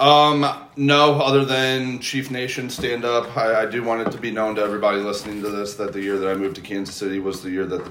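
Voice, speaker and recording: Someone talks at a fairly quick pace with hardly any pauses and ordinary pitch variation. Noticeable background noise and audible room echo are present. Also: man. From St. Louis, Missouri. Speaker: podcast guest. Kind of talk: casual chat. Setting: studio.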